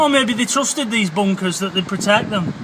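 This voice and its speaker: Noticeable background noise sits behind a man's raised, projected voice, which shows ordinary pitch variation. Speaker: explorer vlogger. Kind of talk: casual vlog chat. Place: beach. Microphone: phone near.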